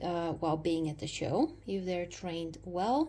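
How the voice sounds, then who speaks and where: Some light background noise is present. Over it, a woman talks. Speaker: dog owner vlogger. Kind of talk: casual vlog chat. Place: home room.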